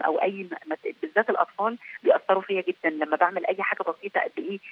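A woman speaks at a medium pitch. She has an Egyptian accent. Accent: Egyptian Arabic with frequent English words. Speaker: peacekeeping military officer. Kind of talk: interview.

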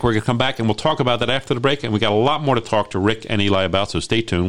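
A man at medium pitch with an American accent, very fast and with lively intonation. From Maryland, Baltimore. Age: 60s. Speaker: real estate agent and radio host. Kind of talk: radio talk show.

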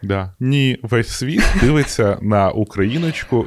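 A man's voice swings very widely in pitch. The sound is dry and close, with no echo. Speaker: podcast co-host. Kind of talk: casual chat.

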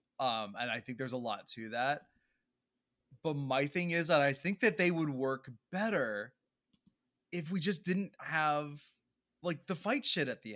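Loud speech comes at a fairly slow pace with long, frequent pauses. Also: man, fairly high pitch for a man, lively intonation. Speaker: podcast co-host, theater actor. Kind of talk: casual chat. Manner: animated.

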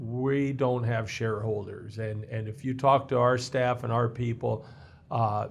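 Here a man speaks at a fairly slow pace. His pitch is medium. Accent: Midwestern American. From Missouri. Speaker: municipal workers' compensation pool representative. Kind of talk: interview.

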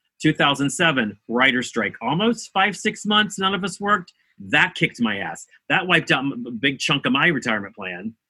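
A man with an American accent, fairly high pitch, very wide pitch swings, vocal fry and a moderate pace. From rural West Virginia. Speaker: actor. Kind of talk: casual chat. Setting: video call.

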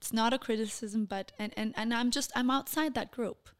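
A woman with a Portuguese accent and a fairly high voice speaks at a moderate pace with ordinary pitch variation. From Denmark, Copenhagen, Brazilian family. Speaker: television correspondent. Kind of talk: casual interview.

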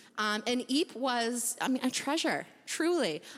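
With an American accent, a woman speaks in a high pitch, using lively intonation and an animated, playful tone. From US Midwest. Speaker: church member giving a talk. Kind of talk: casual testimony at church service. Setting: church with audience.

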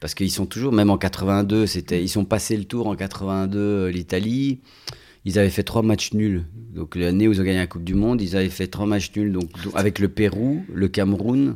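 Speaking at a moderate pace, the man has a dark, mellow tone. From Belgium, Italian family. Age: 40s. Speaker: actor. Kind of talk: casual chat. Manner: halting.

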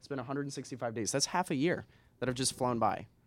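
This is a man's voice at medium pitch. The recording is very clean, with a silent background. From Washington State, US (Spokane). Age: 20s. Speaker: entrepreneur. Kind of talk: casual interview.

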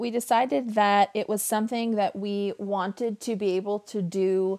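This woman has an ordinary speaking voice with an American accent and a medium pitch. She talks at a fairly slow pace. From Western New York, then Las Vegas from age twelve. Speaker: podcast host and farm owner. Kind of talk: casual solo podcast monologue. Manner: conversational with frequent fillers and repetitions.

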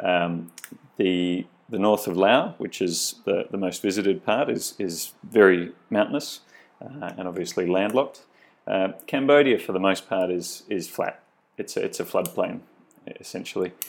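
Moderate pace, in an Australian accent. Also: man. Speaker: cycling tour company owner. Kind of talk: interview. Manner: halting.

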